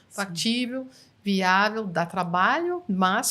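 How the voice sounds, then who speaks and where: A woman speaks with an English accent. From United States. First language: English (speaking Portuguese). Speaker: NLP trainer. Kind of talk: interview.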